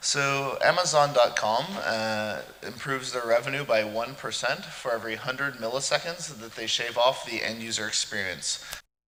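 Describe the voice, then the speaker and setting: A man with an American accent and ordinary pitch variation, amid audible room echo and noticeable background noise. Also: medium pitch for a man. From California, US. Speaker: conference speaker. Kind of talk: technical conference talk. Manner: fast.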